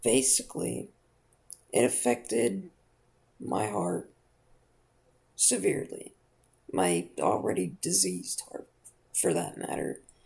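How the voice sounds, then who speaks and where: With long, frequent pauses, a man speaks very slowly. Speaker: heart surgery patient. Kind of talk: casual talk to camera about personal health story. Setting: built-in laptop microphone, low audio quality. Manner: hesitant, with stutters and fillers.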